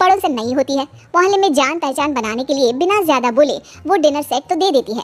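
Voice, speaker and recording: Using a cartoonish character voice, the speaker rattles along at a very fast pace in a high pitch with hardly any pauses. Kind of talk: kids cartoon narration. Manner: chatty, animated.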